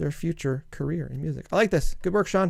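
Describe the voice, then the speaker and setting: A man with a Canadian accent mumbles at a fairly quick pace. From Canada. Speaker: music producer and song reviewer. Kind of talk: casual review commentary. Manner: mumbling; fast.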